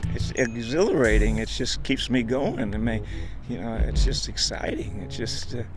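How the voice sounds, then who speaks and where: Male speaker with an American accent, noticeable background noise and audible room echo. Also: moderate pace. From New York (Brooklyn). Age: 70s. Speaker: senior track athlete. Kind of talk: interview. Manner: halting.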